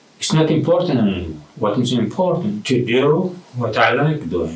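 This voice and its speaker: The man's pitch swings very widely as he talks at a fairly slow pace. Audible room echo surrounds his voice. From abroad, came to US in late teens. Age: 60s. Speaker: retired artist vlogger. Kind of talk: personal vlog monologue. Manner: halting.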